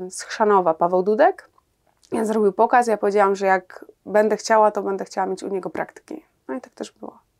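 Against a quiet background, a woman talks at a very fast pace with big swings in loudness and ordinary pitch variation. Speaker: guest. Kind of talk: interview answer. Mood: reflective, occasionally laughing. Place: studio. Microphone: lapel.

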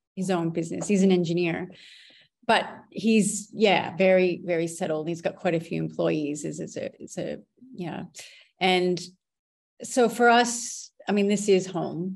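Against a quiet background, a woman with an American accent speaks at a fairly slow pace with fairly even intonation and long, frequent pauses. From North Dakota, US. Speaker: photographer, business owner. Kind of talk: podcast interview answer. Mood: reflective, somewhat somber. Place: home room. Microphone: webcam.

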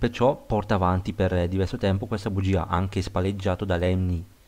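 A man talks at a fairly quick pace with a very deep, low pitch. His intonation is monotone and flat, and the recording is very clean with a silent background. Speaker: film review youtuber. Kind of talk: video review monologue. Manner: halting, repeats words.

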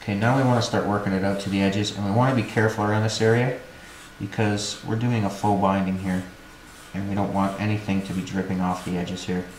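A man talks at a very fast pace with a fairly low pitch and monotone, flat intonation. There is audible room echo and light background noise. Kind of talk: tutorial. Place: workshop.

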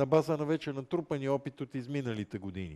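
With a dark, mellow tone, a man talks at a fairly quick pace in a fairly high pitch. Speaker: moderator. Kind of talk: interview. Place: hall. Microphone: headset.

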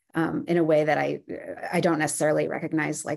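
Against a quiet background, a woman talks at a very fast pace in a very deep, low pitch with vocal fry. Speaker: panelist, writer. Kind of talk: panel discussion. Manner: halting.

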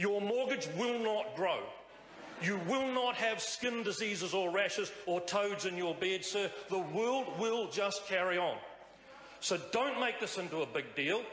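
Amid light background noise and audible room echo, a man speaks fairly slowly in a high pitch with ordinary pitch variation. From New Zealand. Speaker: member of parliament. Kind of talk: parliamentary speech. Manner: witty, humorous, uplifting. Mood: humorous, wry, upbeat. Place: hall. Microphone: podium.

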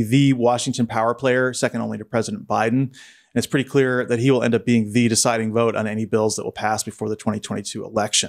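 Over a quiet background, a man speaks at a very fast pace with hardly any pauses. His intonation is fairly even. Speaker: podcast co-host. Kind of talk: news commentary. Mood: wry, critical. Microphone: studio mic.

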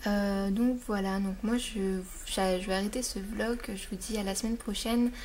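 Against light background noise, a woman talks at a fairly slow pace in a monotone, flat delivery that is somewhat breathy. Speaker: beauty vlogger. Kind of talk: casual vlog.

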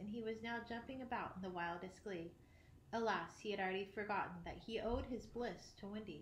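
Ordinary pitch variation in plain reading aloud

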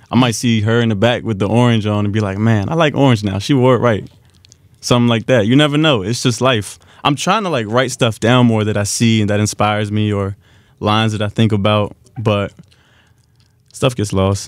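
A man with an American accent speaks at a fairly quick pace and fairly low pitch with ordinary pitch variation, the sound dry with no echo against a quiet background. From Washington D.C. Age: 20s. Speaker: rapper; guest. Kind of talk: casual interview. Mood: relaxed, smiling. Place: studio. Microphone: studio mic.

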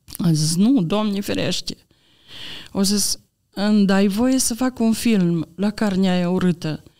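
A woman's very slow delivery in a dark, mellow tone, with ordinary pitch variation over a quiet background. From Romania, Maramureș; Romania. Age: 60s. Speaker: church member giving testimony; podcast guest. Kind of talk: personal testimony. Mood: earnest, calm faith testimony. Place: studio. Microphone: studio mic.

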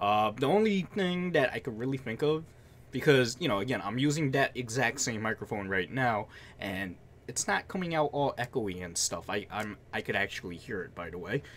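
Very wide pitch swings from a man at a moderate pace, with light background noise. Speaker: vlogger. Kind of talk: casual vlog chat. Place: home room.

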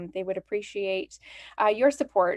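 Speaking with a Canadian accent in an enthusiastic tone, the voice moves at a moderate pace with lively intonation against a quiet background. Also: woman. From Canada. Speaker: library event host. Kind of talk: event introduction. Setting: livestreamed virtual event. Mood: friendly, welcoming. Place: home room. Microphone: webcam.

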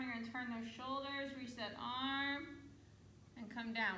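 A woman's raised, projected voice, with audible room echo and light background noise. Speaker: fitness instructor. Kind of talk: exercise class cues. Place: hall. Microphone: camera far.

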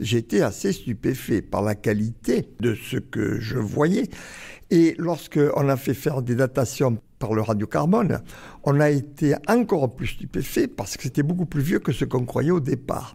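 The voice has a dark, mellow tone and is somewhat breathy. Its intonation is lively, and the pace is fairly slow. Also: man, medium pitch for a man. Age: 80s+. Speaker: archaeologist. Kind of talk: interview. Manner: halting.

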